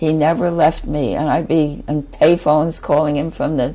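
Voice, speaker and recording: Her pitch is very deep and low. The speaker is a woman. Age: 80s+. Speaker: former US Marine, physical trainer. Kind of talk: interview answer.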